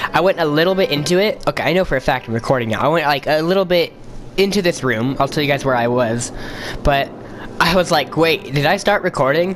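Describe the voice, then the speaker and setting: The speech moves at a very fast pace over noticeable background noise. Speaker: gaming video creator. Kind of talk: let's play commentary with reading game text aloud. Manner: halting, many restarts.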